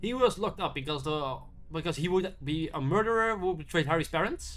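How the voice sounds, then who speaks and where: This man talks at a fairly quick pace in a high pitch, with ordinary pitch variation. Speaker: YouTube film reviewer. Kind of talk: casual video review monologue. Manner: halting, many repeats and restarts; mumbling.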